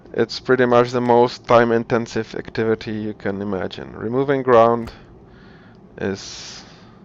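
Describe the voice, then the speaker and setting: A man's medium-pitched voice at a moderate pace, flat and monotone in intonation. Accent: non-native. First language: not English. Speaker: video game tutorial creator. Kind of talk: tutorial. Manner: halting, many repetitions and fillers; casual.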